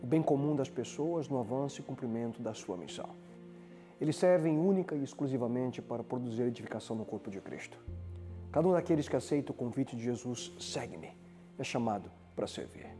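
Clear music plays in the background. A man talks over it at a fairly quick pace. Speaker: presenter. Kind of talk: sermon. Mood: calm, warm, earnest. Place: studio.

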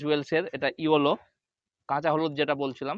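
A man talks in a fairly high pitch. His intonation is monotone and flat. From West Bengal, India (Nadia district). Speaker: gardening YouTuber. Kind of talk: tutorial.

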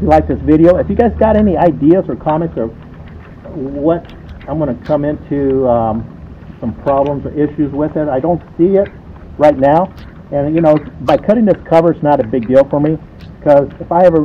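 Light background noise behind a male speaker with ordinary pitch variation. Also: fairly quick pace. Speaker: motorcycle owner vlogger. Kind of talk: casual vlog chat. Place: street.

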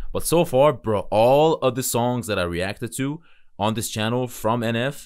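Moderately paced speech from a man, the background quiet. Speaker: music reaction streamer. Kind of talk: casual reaction commentary. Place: home room. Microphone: studio mic.

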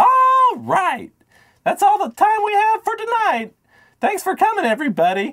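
An extremely high pitch defines this cartoonish character voice. Its pace stays moderate. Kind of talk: talk show host. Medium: puppet.

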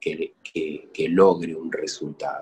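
A man is speaking. The background is quiet. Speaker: host. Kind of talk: talk-show monologue on spirituality. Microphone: webcam.

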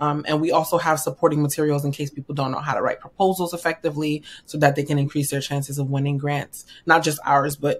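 A woman talks at a very fast pace in an American accent, her pitch very deep and low for a woman. Her intonation is monotone and flat, and her voice is somewhat breathy. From New York. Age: 30s. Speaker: financial strategist; podcast guest. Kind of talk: interview. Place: home room.

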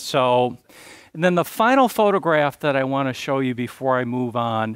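A man with an American accent, fairly high pitch, lively intonation and a moderate pace, in a dry recording with no echo and a quiet background. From US Midwest, small-town Wisconsin. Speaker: probation trainer and conference presenter; probation trainer, conference presenter. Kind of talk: conference presentation to a live audience. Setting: stage with audience. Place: stage. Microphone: lapel.

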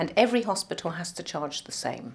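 The woman's speech moves along at a fairly quick clip. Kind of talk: interview answer. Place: office.

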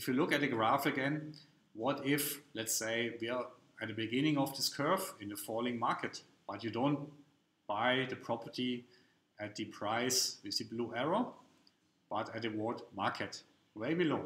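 In a room with audible echo, a man of medium pitch speaks with ordinary pitch variation and a fairly bright tone. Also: moderate pace.

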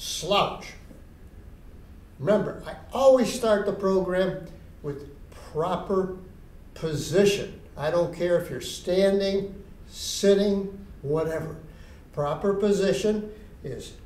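Very slowly and with long, frequent pauses, a man speaks at a high pitch, his loudness swinging widely in a room with audible echo. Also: ordinary pitch variation. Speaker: exercise instructor for seniors. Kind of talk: tutorial. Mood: relaxed, anecdotal. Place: stage.

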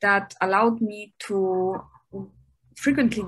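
Over a quiet background, a woman with a German accent speaks at a medium pitch in a bright, sharp tone with ordinary pitch variation. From Germany. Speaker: physician and researcher. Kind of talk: interview. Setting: video call. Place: home room. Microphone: webcam.

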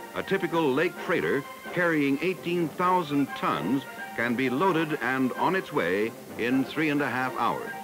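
Over clear background music, a man speaks at a fairly slow pace with ordinary pitch variation. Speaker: documentary narrator. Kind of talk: documentary narration. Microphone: old recording.

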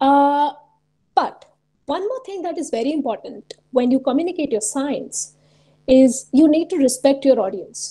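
A woman with a high-pitched voice speaks in an Indian accent, her dark, mellow tone carrying lively intonation and big swings in loudness over a quiet background. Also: moderate pace. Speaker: researcher and science communicator; webinar presenter. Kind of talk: webinar presentation. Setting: video call. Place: home room. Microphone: webcam.

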